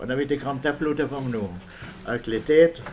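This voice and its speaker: A man with a German accent, fairly quick pace, ordinary pitch variation, and noticeable background noise. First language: German (speaking French). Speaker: war veteran. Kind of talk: interview. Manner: halting.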